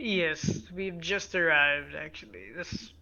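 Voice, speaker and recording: A put-on character voice at a middle pitch and a fairly slow pace. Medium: actual play. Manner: formal, measured.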